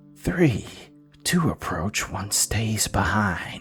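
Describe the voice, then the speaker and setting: Whispering in a put-on character voice at a very slow pace, the speaker is heard over clear music in the background. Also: man. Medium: read story.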